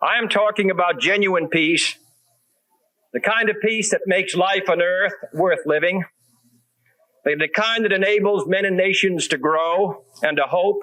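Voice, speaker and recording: A man raises and projects his high voice at a very even loudness, with ordinary pitch variation and long, frequent pauses. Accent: American. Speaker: president. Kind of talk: political speech.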